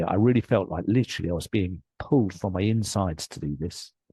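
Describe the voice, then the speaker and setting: Over a quiet background, a man with an English accent speaks in a very deep, low, somewhat breathy voice with ordinary pitch variation and a dry, close sound with no echo. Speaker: life coach and author. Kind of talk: interview storytelling. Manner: animated.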